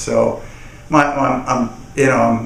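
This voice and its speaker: Male speech amid audible room echo and noticeable background noise. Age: 60s. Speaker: testimonial customer. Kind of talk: testimony. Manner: halting, many repetitions and fillers.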